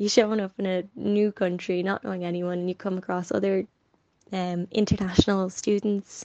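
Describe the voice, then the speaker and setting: Speaking at a moderate pace and a medium pitch, a woman with a Dublin accent keeps a monotone, flat intonation. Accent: Dublin Irish English. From Ireland, North Dublin. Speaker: former exchange student. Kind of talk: casual interview. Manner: hesitant with fillers.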